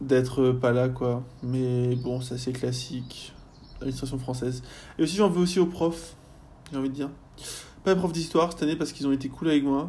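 A man with a medium pitch and a dark, mellow tone talks at a moderate pace, somewhat breathy. He leaves long, frequent pauses, and audible room echo surrounds his voice. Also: ordinary pitch variation. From France, Rennes. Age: 20s. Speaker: university student. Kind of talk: casual interview. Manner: halting, many fillers.

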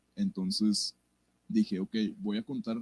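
A dark, mellow tone with very wide pitch swings, dry and close with no echo. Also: man. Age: 20s. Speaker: musician. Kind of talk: casual chat. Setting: live stream.

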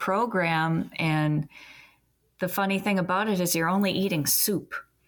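In a very clean recording with a silent background, a woman uses a normal speaking voice at a fairly low pitch, speaking at a fairly slow pace with fairly even intonation. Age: 30s. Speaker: former police officer and advocate. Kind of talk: interview.

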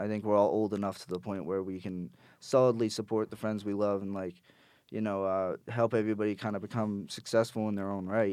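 A plain, everyday voice from a man, fairly low in pitch, with fairly even intonation and a fairly quick pace against a quiet background. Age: 20s. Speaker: musician. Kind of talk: casual chat.

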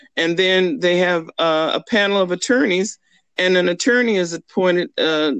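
Her voice is a plain, everyday voice: a woman with an American accent, fairly low in pitch, with ordinary pitch variation. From US, army bases (Georgia, Kentucky). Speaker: estate attorney. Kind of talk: casual interview.

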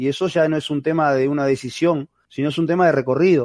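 A man speaks with a Uruguayan accent at a fairly high pitch, his tone dark and mellow. His intonation stays fairly even against a quiet background. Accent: Rioplatense Spanish (Uruguayan), voseo. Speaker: retired goalkeeper and football coach. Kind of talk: interview.

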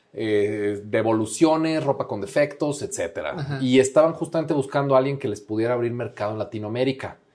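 At a fairly quick pace with hardly any pauses, a man speaks in an unremarkable speaking voice at a medium pitch with ordinary pitch variation. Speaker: international business coordinator at a candy company. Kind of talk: casual interview chat.

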